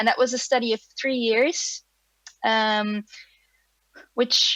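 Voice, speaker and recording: Very slow speech in a Flemish accent, fairly even intonation, and a dry, close sound with no echo. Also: woman. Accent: Belgian (Flemish) English. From Belgium. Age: 30s. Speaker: animator and film director. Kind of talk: online presentation. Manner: hesitant, many fillers.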